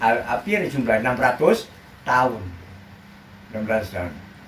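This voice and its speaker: This man speaks in a Banten accent. His pitch swings very widely. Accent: Banten Javanese dialect. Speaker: Islamic preacher. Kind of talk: religious sermon.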